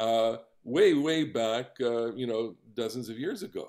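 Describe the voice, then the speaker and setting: The setting around him is quiet. This man takes his words fairly slowly. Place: home room.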